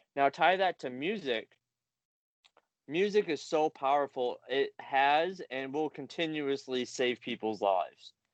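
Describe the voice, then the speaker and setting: An unremarkable speaking voice with ordinary pitch variation comes through in a dry, close sound with no echo and a quiet background. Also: man. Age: 30s. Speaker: recovery group founder. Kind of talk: casual interview chat.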